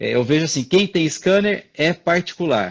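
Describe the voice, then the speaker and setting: Against a quiet background, a man is talking. His intonation rises and falls in a lively way. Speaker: orthodontist, live chat host. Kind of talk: casual chat. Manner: fast.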